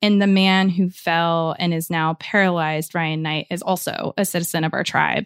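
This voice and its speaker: A woman with an American accent has an unremarkable speaking voice, a fairly low pitch, and fairly even intonation. The recording is very clean, with a silent background and a dry, close sound with no echo. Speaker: reporter and podcast host. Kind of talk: interview.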